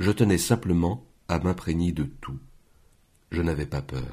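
A man with a very deep, low voice and vocal fry talks at a fairly slow pace. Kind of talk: audiobook reading. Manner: measured, slow, unhurried literary narration.

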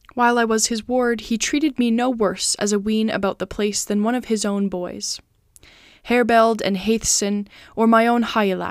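On a very clean recording with a silent background, a woman uses a solemn, dramatic tone at a moderate pace, her fairly high voice monotone and flat. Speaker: podcast host and narrator reading literature aloud. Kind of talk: audiobook-style reading aloud of an epic poem. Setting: home recording, cat nearby. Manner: measured, solemn storyteller pace with formal, dramatic cadence; warm, friendly and earnest when speaking as herself.

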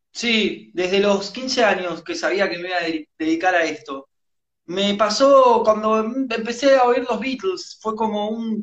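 With an Argentine accent, a man talks at a fairly slow pace in a high pitch, his pitch varying in an ordinary way. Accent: Argentine Spanish (Rioplatense). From Argentina. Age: 30s. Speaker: rock musician. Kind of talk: interview.

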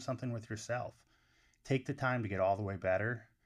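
A man with an American accent talks in an ordinary speaking voice, fairly low in pitch with ordinary pitch variation, over a quiet background. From upstate New York. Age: 40s. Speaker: college wrestling coach. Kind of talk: podcast interview.

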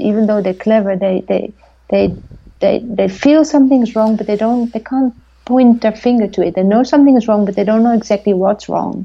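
Speaking at a moderate pace, a woman with a Dutch accent has a fairly high voice and ordinary pitch variation. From Netherlands. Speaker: documentary filmmaker. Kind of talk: interview. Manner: halting.

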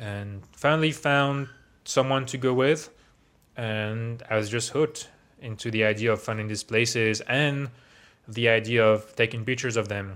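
This man speaks with a French accent at a medium pitch and moderate pace, his intonation fairly even. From France, Paris area. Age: 20s. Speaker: tech worker and DJ. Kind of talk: casual interview.

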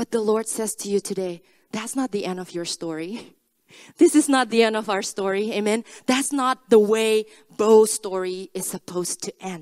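With a non-native accent, a woman speaks at a moderate pace in a fairly high voice, with ordinary pitch variation and big swings in loudness, the sound dry and close with no echo. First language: not English. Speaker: preacher. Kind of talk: sermon. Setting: church.

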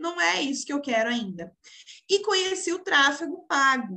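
In a raised, projected voice, a woman speaks at a high pitch with a bright, sharp tone and very wide pitch swings. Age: 20s. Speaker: social media manager, entrepreneur. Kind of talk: casual interview chat.

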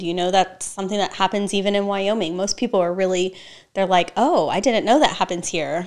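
With an American accent, a woman talks at a moderate pace in a normal speaking voice, medium in pitch with fairly even intonation, on a very clean recording with a silent background. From Texas. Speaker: nonprofit executive director. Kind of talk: interview.

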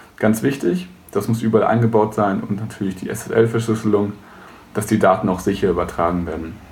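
A man talks at a fairly quick pace in a fairly low voice. His intonation is fairly even, and there is audible room echo. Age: 20s. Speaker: web services entrepreneur. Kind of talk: tutorial.

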